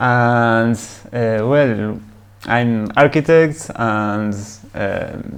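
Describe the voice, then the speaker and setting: Speaking very slowly with a Spanish accent, a man at medium pitch uses ordinary pitch variation and leaves long, frequent pauses. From Uruguay. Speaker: long-distance cycle tourer. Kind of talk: casual interview. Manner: halting.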